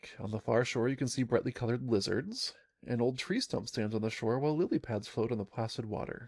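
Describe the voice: Pitch moves in an ordinary way through this plain reading aloud.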